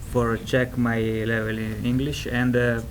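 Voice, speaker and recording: Audible room echo and noticeable background noise around a male voice. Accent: strong Italian. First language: Italian. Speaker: ESL student panelist. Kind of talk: panel talk. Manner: halting, many fillers.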